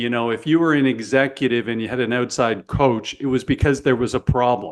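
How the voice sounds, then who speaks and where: In a Canadian accent, a man with an ordinary speaking voice and medium pitch talks at a fairly quick pace with fairly even intonation. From Canada. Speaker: podcast host, sales coach. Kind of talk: podcast interview.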